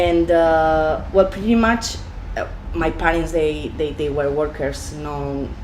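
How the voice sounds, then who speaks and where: Over noticeable background noise and audible room echo, a voice with a Spanish accent moves at a very slow pace. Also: woman. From Spain, Valencia region. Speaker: deli owner. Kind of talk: interview. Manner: halting, many fillers.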